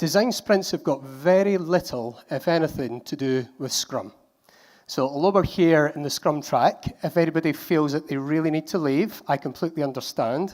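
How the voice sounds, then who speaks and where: Speaking at a moderate pace with a Scottish accent, a man uses a fairly high pitch with ordinary variation. The recording is very clean, with a silent background. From Scotland. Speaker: conference speaker. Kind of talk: conference talk.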